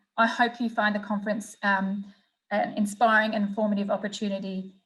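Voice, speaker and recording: A woman talks at a fairly quick pace in a medium pitch, with an Australian accent. Her intonation stays monotone and flat. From Australia, Melbourne. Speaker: sports event executive. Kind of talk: conference presentation; interview answers. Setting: virtual conference. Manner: formal.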